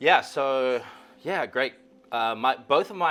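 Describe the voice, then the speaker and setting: The man speaks at a very slow pace. His tone is bright and sharp. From South Africa. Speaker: DJ. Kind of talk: casual chat.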